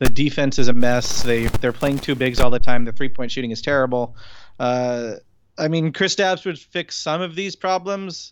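Over a very clean recording with a silent background, a man speaks at a moderate pace with a medium pitch and ordinary pitch variation. He has an unremarkable speaking voice, and his loudness swings widely. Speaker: sports journalist. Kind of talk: casual chat.

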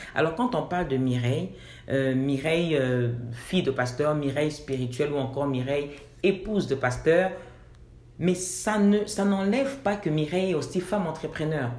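A woman's very deep, low voice with lively intonation, at a moderate pace, with audible room echo. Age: 40s. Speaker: assistant pastor and fashion designer. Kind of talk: interview.

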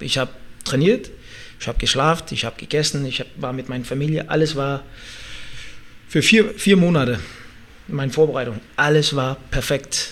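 A man with a Danish accent, fairly high pitch, ordinary pitch variation, and a moderate pace. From Denmark. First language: Danish (speaking German). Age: 30s. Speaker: MMA fighter and former Olympic wrestler. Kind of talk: interview. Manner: halting, searching for words.

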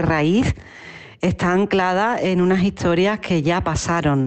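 A woman speaks in an unremarkable speaking voice at a fairly slow pace and fairly low pitch. Her intonation stays fairly even over a quiet background. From Andalusia, Spain (Utrera, Seville). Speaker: singer and performer. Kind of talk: interview.

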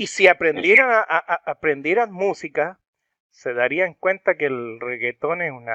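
With a bright, sharp tone and lively intonation, a man speaks at a fairly high pitch and a fairly slow pace, in a dry, close sound with no echo and a quiet background. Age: 40s. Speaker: rock music video channel host. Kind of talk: interview. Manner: halting.

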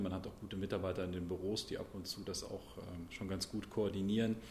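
A man with a fairly low pitch talks at a very fast pace in a somewhat breathy, monotone, flat voice, with audible room echo around him. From Sauerland, Germany (Brilon). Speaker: member of parliament. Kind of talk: interview.

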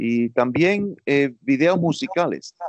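A man with lively intonation. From US, raised in Miami by Cuban parents. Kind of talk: interview.

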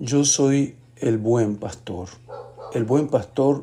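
Medium pitch and a dark, mellow tone in a man's voice, with ordinary pitch variation. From Argentina, Mendoza. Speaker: bible reading podcaster. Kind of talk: reading aloud scripture with brief comments.

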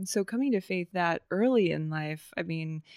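A woman's plain, everyday voice, fairly low-pitched and fairly slow, in a dry, close sound with no echo and a very clean recording over a silent background. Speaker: podcast host. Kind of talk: casual interview chat.

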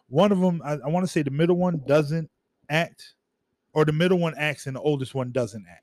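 A man's normal speaking voice, fairly high in pitch, with ordinary pitch variation and a fairly quick pace. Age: 40s. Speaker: podcast co-host. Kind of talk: casual chat. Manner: casual, filler-heavy.

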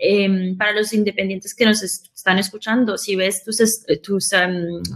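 A woman has a normal speaking voice at a medium pitch. She talks at a moderate pace with fairly even intonation. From Queens, New York, with Colombian roots. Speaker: podcast company founder. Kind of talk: live show conversation.

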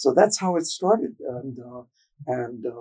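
A somewhat breathy man at medium pitch, ordinary pitch variation and a fairly slow pace. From Boston, Massachusetts (South Boston). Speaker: Jesuit priest and psychologist. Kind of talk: interview.

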